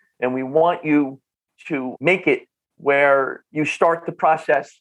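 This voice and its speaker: A man's fairly high-pitched voice with a North Jersey accent. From northern New Jersey. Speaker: functional nutrition clinician. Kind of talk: podcast interview. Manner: animated, repetitive restarts.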